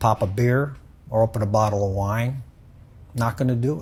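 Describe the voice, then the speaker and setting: Somewhat breathy, a man speaks at medium pitch. His pitch varies in an ordinary way. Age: 70s. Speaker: jiu-jitsu practitioner. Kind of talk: interview testimony. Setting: jiu-jitsu gym.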